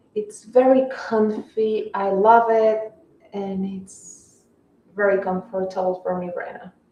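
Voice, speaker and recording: A woman with a Spanish accent, fairly high in pitch, at a very slow pace with lively intonation. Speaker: fashion livestreamer. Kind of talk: casual live stream chat.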